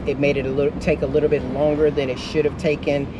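A man talks against loud background noise. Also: dry sound with no echo. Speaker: vlogger. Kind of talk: casual vlog chat. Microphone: camera far.

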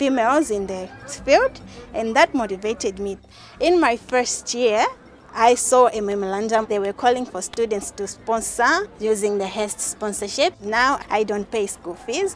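Faint music plays in the background as the voice, dry with no echo, moves at a moderate pace with ordinary pitch variation. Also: woman. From Malawi. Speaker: university student. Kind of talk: interview answer. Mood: smiling, grateful. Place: street.

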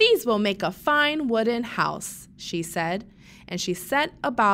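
The reading voice is unforced. Intonation rises and falls in a lively way.

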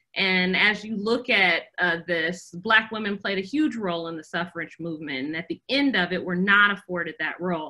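Against a quiet background, a woman talks at a fairly quick pace in a bright, sharp tone with ordinary pitch variation. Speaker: design professor. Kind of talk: presentation. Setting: video call. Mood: reflective, personal. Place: home room. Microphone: video call.

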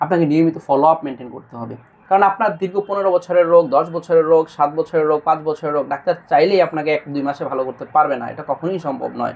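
A man has an ordinary speaking voice at a fairly high pitch with ordinary pitch variation. His loudness swings widely. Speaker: doctor. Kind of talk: patient testimonial video.

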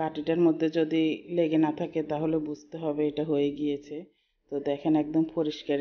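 In a monotone, flat intonation, a woman speaks with a very deep, low pitch. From Bangladesh. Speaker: cooking vlogger. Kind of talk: cooking tutorial. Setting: closed room at home. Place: kitchen. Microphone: sound may not be good, enclosed room; phone near.

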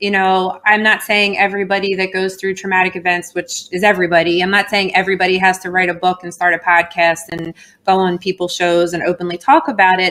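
A woman with an American accent talks very fast, hardly pausing at all. Her tone is bright and sharp, her intonation monotone and flat. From Philadelphia. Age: 40s. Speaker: ballet teacher and model; interview guest. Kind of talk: interview. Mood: earnest, personal storytelling.

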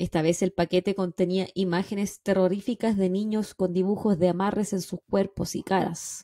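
In a Chilean accent, a woman speaks at a moderate pace with hardly any pauses and a monotone, flat intonation. Her dark, mellow tone comes through a dry sound with no echo and a quiet background. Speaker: true crime podcast host. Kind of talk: casual chat; true crime storytelling narration. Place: home room. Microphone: studio mic.

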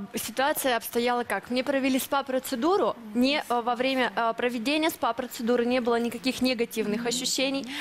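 Over light background noise, a woman talks at a high pitch. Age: young. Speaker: dissatisfied customer. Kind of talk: testimony. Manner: halting. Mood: aggrieved, insistent. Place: studio. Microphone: headset.

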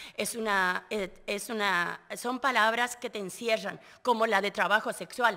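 Fairly high in pitch, a woman's voice carries a bright, sharp tone with fairly even intonation. She speaks at a fairly slow pace over a quiet background. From Argentina. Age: 50s. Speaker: trafficking survivor and activist; interview guest. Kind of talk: interview testimony. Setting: live radio at a conference venue. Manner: halting, with repetitions. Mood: earnest, indignant. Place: studio. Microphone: studio mic.

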